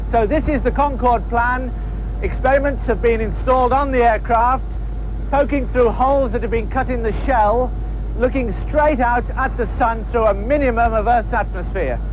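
The sound is dry with no echo. There is noticeable background noise. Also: moderate pace. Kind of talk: 1970s documentary narration, scripted and explanatory. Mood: calm explanatory. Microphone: old recording.

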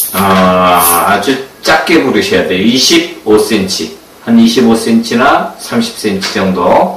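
Music plays in the background and the room echoes audibly as a man talks at a very slow pace. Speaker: balloon art instructor. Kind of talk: tutorial. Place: home room.

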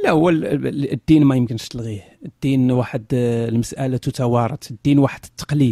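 A man's dark, mellow voice at medium pitch, fairly even in intonation, at a moderate pace with hardly any pauses, in a dry, close sound with no echo. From Morocco. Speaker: atheist online critic of religion. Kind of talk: interview.

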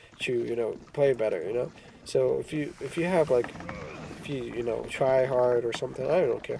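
Someone speaks at a moderate pace with noticeable background noise behind them. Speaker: mobile game player. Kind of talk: gameplay commentary.

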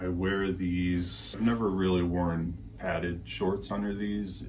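With light background noise behind him, a man speaks slowly in a very deep, low, somewhat breathy voice with ordinary pitch variation. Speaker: cycling gear reviewer. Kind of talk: product review vlog. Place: home room. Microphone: camera far.

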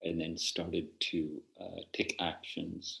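A man speaks very slowly with a quiet background behind him. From Belfast, Northern Ireland. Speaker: Zen teacher. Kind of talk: interview answer. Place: home room. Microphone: video call.

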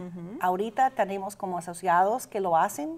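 A woman speaks at a medium pitch with ordinary pitch variation and an English accent. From Austin, Texas. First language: English (speaking Spanish). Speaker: adult education director. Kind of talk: interview. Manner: halting. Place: studio.

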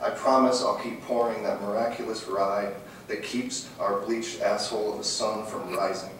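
Strong room echo and light background noise accompany speech at a fairly slow pace. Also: man. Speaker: poet. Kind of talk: poetry reading, performed poem. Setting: live audience at a reading event. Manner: laughing, slightly stumbling.

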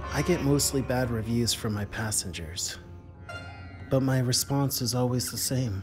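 Clear music plays behind a man who speaks at a moderate pace with ordinary pitch variation. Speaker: comic ride-share driver character. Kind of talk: deadpan confessional monologue. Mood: earnest, intense.

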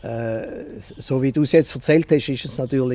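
Light background noise accompanies a man's dark, mellow, somewhat breathy voice, which has ordinary pitch variation and a dry sound with no echo. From Basel, Switzerland (Kleinbasel); Switzerland. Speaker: radio journalist and media professional; radio journalist. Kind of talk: interview. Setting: outdoors in a garden. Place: garden.

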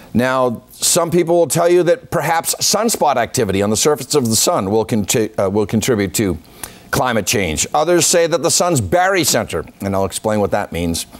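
A man speaks at medium pitch and a moderate pace. His intonation is lively.

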